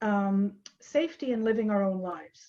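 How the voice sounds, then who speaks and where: A somewhat breathy woman with a fairly high pitch, a dark, mellow tone, ordinary pitch variation and a moderate pace. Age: 60s. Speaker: traveler sharing a trip. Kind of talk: interview about a trip.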